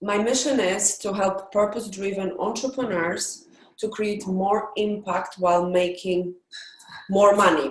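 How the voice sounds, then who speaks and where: A woman with a Polish accent, medium-pitched, fairly even in intonation, at a fairly slow pace. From Poland. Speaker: entrepreneur coach. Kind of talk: pitch practice. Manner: halting.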